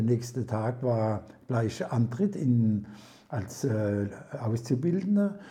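A man's medium-pitched voice at a very slow pace. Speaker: retired master baker. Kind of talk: casual interview. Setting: at home over prosecco. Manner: halting, many fillers.

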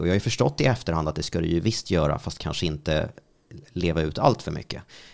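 Very fast speech from a man with a very deep, low voice and normal pitch movement. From Sweden, Strängnäs. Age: 30s. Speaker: radio host. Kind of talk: casual interview. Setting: studio.

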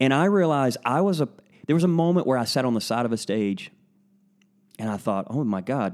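A man with a Southern US accent uses lively intonation on a very clean recording with a silent background. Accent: Southern American. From US South (northern Florida, Alabama, Georgia, Tennessee). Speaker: pastor. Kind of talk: casual interview conversation. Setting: at a kitchen table at home, in person.

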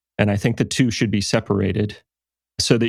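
The speech moves at a fairly quick pace. The recording is very clean with a silent background. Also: man. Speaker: clockmaker and artist. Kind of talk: interview. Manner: soft-spoken.

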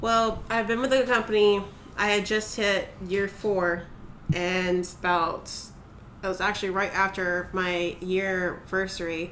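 A woman speaks at a fairly slow pace in a medium pitch, with fairly even intonation and very even loudness. Hers is a plain, everyday voice. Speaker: retail worker. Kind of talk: casual interview.

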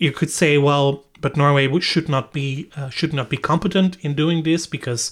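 A man with a Dutch accent at a moderate pace and fairly even intonation, on a very clean recording with a silent background. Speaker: data protection lead and podcast host. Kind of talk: interview. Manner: halting, many fillers.

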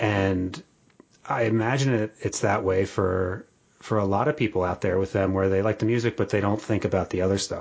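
Using a normal speaking voice with an American accent, a man talks at a fairly quick pace and fairly low pitch, with very even loudness and fairly even intonation. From Atlantic City, New Jersey. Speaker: podcast host. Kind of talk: casual interview.

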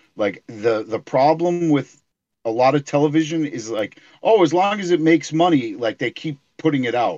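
This is an ordinary speaking voice with lively intonation at a moderate pace. The sound is dry and close, with no echo. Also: man, fairly high pitch for a man. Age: 40s. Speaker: comic and toy collector. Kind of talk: casual chat.

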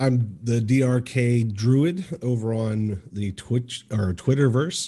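A man talks at a medium pitch, somewhat breathy, with ordinary pitch variation. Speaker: game storyteller and campaign leader. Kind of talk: casual interview chat.

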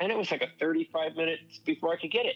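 A man with an American accent, with music in the background. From Southern California (La Mirada). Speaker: podcast listener sharing a trip report. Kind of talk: casual chat.

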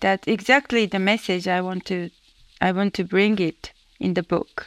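At a moderate pace, a woman speaks in a Japanese accent with fairly even intonation, in a dry, close sound with no echo. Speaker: author and finance professional. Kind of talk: interview. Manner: halting.

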